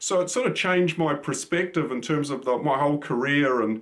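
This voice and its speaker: A man with a New Zealand accent talks at a moderate pace, his fairly high pitch showing ordinary variation. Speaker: cybersecurity expert. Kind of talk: channel introduction monologue. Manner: casual, with frequent fillers.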